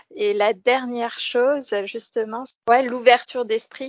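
A woman talks very slowly in a fairly high pitch. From France, Lorraine near Metz. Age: 20s. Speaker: former civic service volunteer living abroad. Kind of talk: interview. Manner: halting, with repetitions and fillers.

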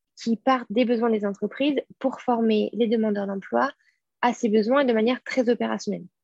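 A woman has an ordinary speaking voice at a fairly high pitch, talking at a fairly quick pace. Her loudness is very even and her intonation is fairly even. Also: dry, close sound with no echo. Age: 20s. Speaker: school director and co-founder. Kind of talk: interview conversation. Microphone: connection dropped out.

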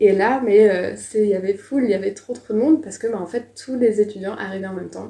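A woman speaks at a very fast pace, her pitch medium with ordinary variation. Noticeable background noise sits behind her. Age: 20s. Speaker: former exchange student. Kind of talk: casual interview testimony.

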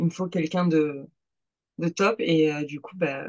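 A woman talks at a moderate pace, her intonation fairly even. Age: 20s. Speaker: amateur bodybuilding competitor. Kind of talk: casual chat.

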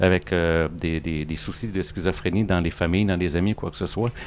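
Here a man talks in a Quebec accent. His pitch variation is ordinary. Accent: Québécois. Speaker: comic book artist. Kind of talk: casual interview. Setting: restaurant.

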